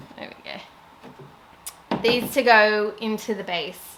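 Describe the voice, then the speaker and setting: Here a woman speaks with an Australian accent. Her pitch is medium. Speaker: furniture refinisher. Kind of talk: voiceover tutorial narration. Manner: casual.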